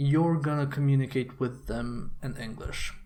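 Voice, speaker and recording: A somewhat breathy man's voice at a fairly high pitch, with audible room echo. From Serbia. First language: Serbian. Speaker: video game commentator. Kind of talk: video blog monologue. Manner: casual, hesitant with fillers.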